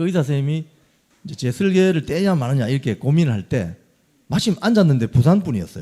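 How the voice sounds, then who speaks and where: A man with a Gyeongsang accent, fairly high-pitched, with a dark, mellow, somewhat breathy tone, very wide pitch swings and a very fast pace. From Gyeongsang region, South Korea. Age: 50s. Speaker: former journalist and election candidate. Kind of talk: interview.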